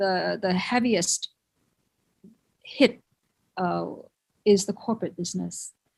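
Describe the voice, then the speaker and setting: A woman speaks in a Thai accent. Her voice is somewhat breathy and her pace fairly slow. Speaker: conference speaker in the hotel industry. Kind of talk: conference presentation. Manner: halting, many fillers.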